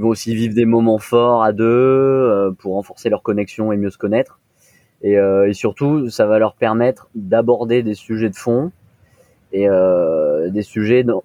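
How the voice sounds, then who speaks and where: Here a man with a normal speaking voice and fairly low pitch talks at a moderate pace with fairly even intonation. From France, Nice. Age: 20s. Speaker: co-founder of a premarital preparation service. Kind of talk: interview.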